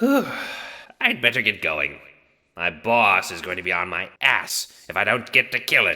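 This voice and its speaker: A man's growling, put-on character voice at a medium pitch and moderate pace. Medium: audio drama. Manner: gruff, blunt.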